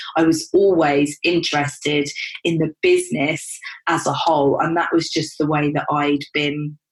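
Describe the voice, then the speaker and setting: At a moderate pace, a woman speaks with a very deep, low pitch and a monotone, flat intonation. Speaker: podcast host and business coach. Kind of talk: podcast monologue.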